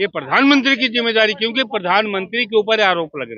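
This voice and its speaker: A man with a high pitch talks at a moderate pace. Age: 70s. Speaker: interviewee on the street. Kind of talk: street interview, political opinion. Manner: animated.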